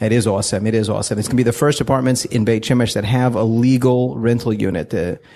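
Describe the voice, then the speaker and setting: Very fast and with hardly any pauses, a man of medium pitch speaks in a Texan accent, with a dark, mellow tone, ordinary pitch variation and very even loudness. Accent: American, Texan. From US South, Fort Worth, Texas. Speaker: real estate agent. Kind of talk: casual interview. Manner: animated.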